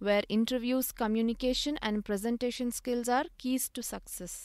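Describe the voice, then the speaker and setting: This woman has an unremarkable speaking voice with a fairly high pitch and ordinary pitch variation. She talks at a moderate pace in a very clean recording with a silent background. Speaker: speech therapy consultant / speech pathologist. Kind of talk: educational podcast talk.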